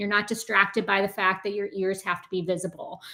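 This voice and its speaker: A bright, sharp tone marks this woman's voice. She talks in an American accent. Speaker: test company representative. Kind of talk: webinar Q&A answer. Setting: online webinar. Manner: fast.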